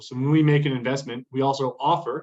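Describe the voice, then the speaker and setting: A man speaks with an American accent at a moderate pace. His pitch is medium and his intonation fairly even. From US, Boston. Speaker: investment fund manager. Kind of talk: business pitch on a video call.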